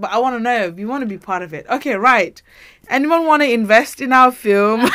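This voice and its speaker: This woman's fairly high voice has an animated tone and very wide pitch swings. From Nepal. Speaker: podcast host. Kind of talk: casual chat. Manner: animated, laughs a lot.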